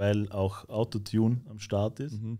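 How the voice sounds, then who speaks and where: In a Vorarlberg accent, a man speaks at a fairly slow pace with monotone, flat intonation. His voice is fairly low, with a dark, mellow tone. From Austria, Vorarlberg. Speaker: rapper; guest. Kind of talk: casual interview chat. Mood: relaxed, conversational. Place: studio. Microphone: studio mic.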